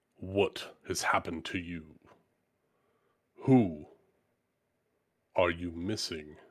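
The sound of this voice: In a put-on character voice, a man booms at a very deep, low pitch. He goes at a very slow pace, with long, frequent pauses.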